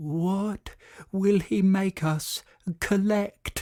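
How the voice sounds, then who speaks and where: In a soft-spoken, put-on character voice, the speaker stays at a middle pitch. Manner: murmuring, fearful.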